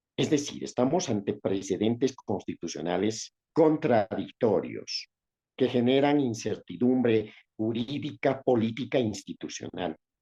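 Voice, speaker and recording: A man with a medium pitch and a dark, mellow tone speaks at a fairly slow pace with vocal fry, in a dry, close sound with no echo. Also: lively intonation. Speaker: lawyer, professor and former senator. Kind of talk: interview. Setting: video call.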